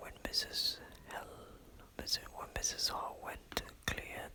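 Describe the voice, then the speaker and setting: A man whispers in a gentle tone at a very slow pace. Background noise is noticeable. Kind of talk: ASMR audiobook reading. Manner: whispered, soft, gentle.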